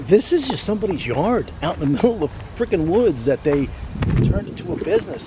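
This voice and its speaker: A man talking at a very fast pace with very wide pitch swings, over noticeable background noise. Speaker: motorcycle restoration vlogger. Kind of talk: casual vlog.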